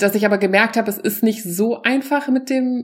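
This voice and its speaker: The speaker talks at a moderate pace with ordinary pitch variation. It is a normal speaking voice. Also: woman. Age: 40s. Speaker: stand-up comedian. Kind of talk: stand-up; casual chat.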